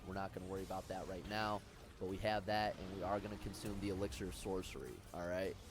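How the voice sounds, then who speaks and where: Against noticeable background noise, a man with a fairly low pitch speaks very fast with fairly even intonation, the sound dry with no echo. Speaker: gaming video creator. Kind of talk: gameplay tutorial commentary. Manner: casual, conversational. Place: home room. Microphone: headset.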